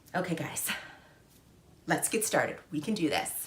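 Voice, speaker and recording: A woman at a medium pitch and moderate pace, with audible room echo. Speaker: fashion and handbag vlogger. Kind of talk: tutorial.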